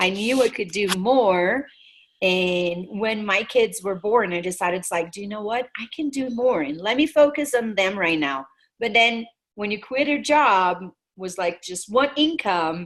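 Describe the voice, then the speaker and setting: In a Brazilian Portuguese accent, the speaker goes at a fairly slow pace with lively intonation and big swings in loudness. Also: woman, medium pitch for a woman. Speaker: network marketing team leader. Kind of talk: webinar presentation. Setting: video call.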